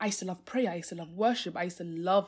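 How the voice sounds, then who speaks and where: A woman talks at a very fast pace in a medium, somewhat breathy voice with ordinary pitch variation, on a very clean recording with a silent background. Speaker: faith podcast host. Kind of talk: solo podcast talk, devotional teaching. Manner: fast when passionate; many fillers like um and like.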